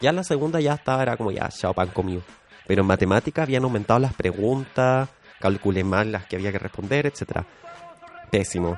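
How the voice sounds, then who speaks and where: With a Chilean accent and a fairly low pitch, a man talks at a fairly quick pace with lively intonation over noticeable background noise. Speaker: podcast co-host. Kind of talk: casual chat. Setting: studio.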